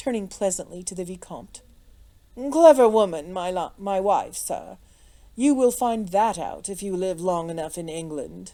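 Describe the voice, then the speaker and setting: Putting on a character voice, a woman drawls at a moderate pace and a medium pitch, with lively intonation and big swings in loudness. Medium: read story. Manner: drawling, imperturbable.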